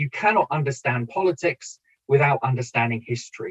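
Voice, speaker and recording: A man with a British accent speaks in a fairly high pitch with lively intonation. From Britain. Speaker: political science professor. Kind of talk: lecture. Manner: hesitant, many fillers.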